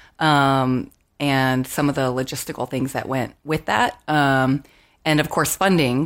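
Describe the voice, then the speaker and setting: A woman with an American accent, a very deep, low pitch and monotone, flat intonation at a fairly slow pace, on a very clean recording with a silent background. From US Pacific Northwest (Puyallup, Washington). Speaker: pastor and church founder. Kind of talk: interview conversation. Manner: many filler words and hesitations.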